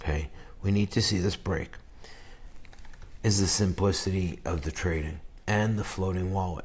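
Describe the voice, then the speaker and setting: A somewhat breathy man with a very deep, low pitch and ordinary pitch variation. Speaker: crypto trader. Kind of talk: live trading commentary. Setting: on vacation, others sleeping nearby. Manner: speaking low; animated.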